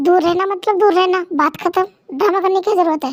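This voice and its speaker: A woman's put-on character voice, extremely high-pitched, raised and projected, very fast, with fairly even intonation. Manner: angry, shouting.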